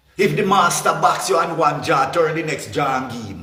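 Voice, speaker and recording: Audible room echo surrounds a man with a Jamaican accent whose fairly high pitch shows ordinary variation. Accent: Jamaican Patois-inflected English. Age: 60s. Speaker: political commentator. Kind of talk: impassioned rant. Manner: animated.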